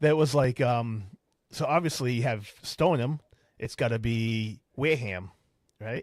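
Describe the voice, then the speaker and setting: A man with a medium pitch and ordinary pitch variation speaks fairly slowly with long, frequent pauses, in a very clean recording with a silent background and a dry, close sound with no echo. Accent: Boston. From Boston, Massachusetts. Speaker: podcast host. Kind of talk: casual chat.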